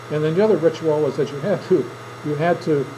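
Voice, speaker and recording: Someone with an Upper Midwest accent talks at a fairly quick pace, with audible room echo and noticeable background noise. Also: man. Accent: Upper Midwest American. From southern Minnesota. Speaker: teacher. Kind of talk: classroom speech demonstration. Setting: classroom with audience. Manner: conversational storytelling.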